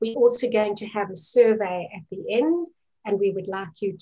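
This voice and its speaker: Her tone is dark, mellow and somewhat breathy as the woman speaks at a moderate pace with lively intonation. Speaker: webinar moderator. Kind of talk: webinar introduction. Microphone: video call.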